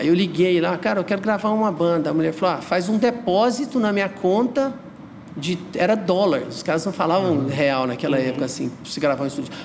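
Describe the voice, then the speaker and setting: A man speaks at a high pitch and a fairly quick pace with lively intonation. Noticeable background noise runs underneath. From Goiás, Brazil. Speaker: underground music figure and T-shirt brand owner. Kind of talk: casual chat.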